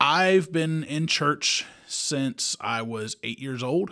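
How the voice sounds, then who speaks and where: Very slowly and with lively intonation, a man with a Kentucky accent speaks in a bright, sharp tone on a very clean recording with a silent background. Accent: Southern US (Kentucky). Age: 30s. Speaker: podcast host, lay Bible teacher. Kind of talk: religious podcast monologue. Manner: casual, with fillers.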